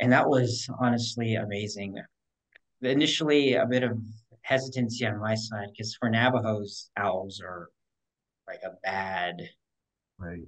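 A man with an American accent speaks at a fairly slow pace and medium pitch, with ordinary pitch variation and big swings in loudness. Long, frequent pauses break his speech against a quiet background. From US Southwest, Kingman, Arizona; Arizona. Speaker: wildlife biologist; interview guest. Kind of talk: casual interview. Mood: relaxed, friendly. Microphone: video call.

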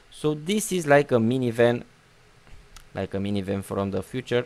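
A man's medium-pitched voice with lively intonation and a non-native accent. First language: not English. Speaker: gaming YouTuber. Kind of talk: gameplay commentary. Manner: casual, halting with fillers.

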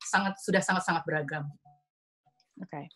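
A woman speaks, her pitch varying in an ordinary way. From Indonesia. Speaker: design director and co-founder of an art and design event; speaker. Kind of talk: slide presentation. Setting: video call webinar. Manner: fast. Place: home room. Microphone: video call.

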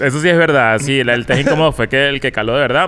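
The speaker has a Venezuelan accent. The intonation stays fairly even. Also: man. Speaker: comedian and podcaster; comedian, podcaster. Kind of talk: casual chat. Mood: relaxed, joking. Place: studio. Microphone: studio mic.

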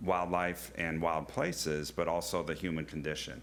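A man speaks at a moderate pace with a very deep, low pitch. Vocal fry runs through his voice. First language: not English. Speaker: zoo director. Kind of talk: public presentation. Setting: county board meeting.

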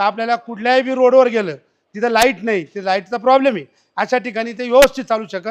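An extremely high-pitched man's voice with ordinary pitch variation against a quiet background. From Maharashtra, Nashik district. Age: 50s. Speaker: farmer, machine buyer. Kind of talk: customer testimonial.

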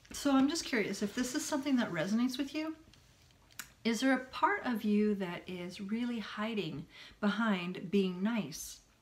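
A moderate pace with lively intonation. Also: woman. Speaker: self-help vlogger. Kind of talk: casual vlog chat. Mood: earnest, reflective. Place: home room. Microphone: phone near.

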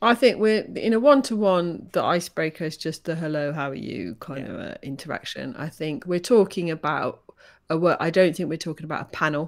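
A woman with a fairly low pitch talks at a fairly quick pace, her intonation lively and her loudness swinging widely over a quiet background. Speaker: podcast co-host. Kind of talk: podcast conversation. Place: home room.

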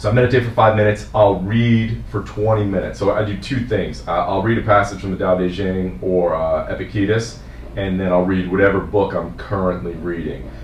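Fairly low male voice with a New Jersey accent, moderate pace, audible room echo and light background noise. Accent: New Jersey American English. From New Jersey, US. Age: 40s. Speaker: fitness coach. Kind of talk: casual interview. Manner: casual, laughs often. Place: office.

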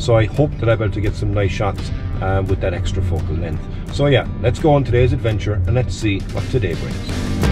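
A man at a fairly quick pace with ordinary pitch variation, clear music playing in the background. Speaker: photography vlogger. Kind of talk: casual vlog chat. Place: car. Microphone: phone near.

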